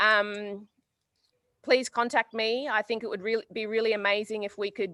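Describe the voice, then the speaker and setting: A woman's bright, sharp voice in an Australian accent, fairly high in pitch, with fairly even intonation at a moderate pace, on a very clean recording with a silent background. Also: dry, close sound with no echo. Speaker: community worker. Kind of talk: community address.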